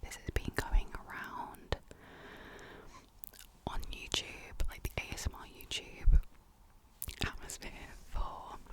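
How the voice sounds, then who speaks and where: Whispering at a very slow pace with long, frequent pauses, a woman's voice shows big swings in loudness over noticeable background noise. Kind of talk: casual chatty ASMR ramble. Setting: studio, close mic. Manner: whispered, soft.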